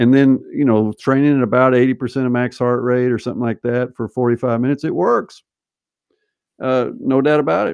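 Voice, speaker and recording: An unremarkable speaking voice with an American accent, moving at a fairly quick pace. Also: man, medium pitch for a man, fairly even intonation. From US South (Arkansas). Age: 50s. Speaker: sports scientist. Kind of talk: casual interview.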